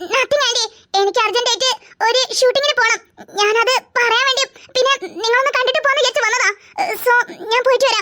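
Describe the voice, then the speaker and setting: Using a cartoonish character voice, a woman talks at a fairly quick pace with extremely high pitch, fairly even intonation and very even loudness. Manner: falsely sweet, sly.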